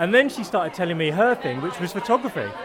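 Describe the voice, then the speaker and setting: A high-pitched man with a British accent at a fairly quick pace, crowd noise in the background. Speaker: coach. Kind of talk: interview.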